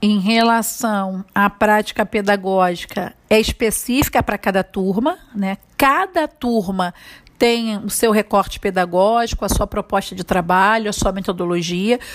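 The delivery comes at a fairly slow pace in a normal speaking voice. Pitch varies in an ordinary way. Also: woman, medium pitch for a woman. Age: 40s. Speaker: preschool teacher. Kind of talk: interview answers.

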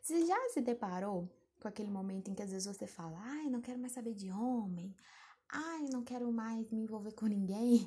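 A woman with a fairly high pitch and a dark, mellow, somewhat breathy tone speaks at a moderate pace with lively intonation. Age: 20s. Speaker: podcaster. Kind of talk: solo advice monologue. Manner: casual, conversational.

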